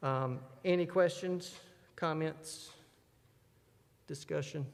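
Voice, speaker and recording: Audible room echo surrounds a man with a fairly high pitch. His intonation stays fairly even. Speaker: church finance officer. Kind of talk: business meeting report. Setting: church.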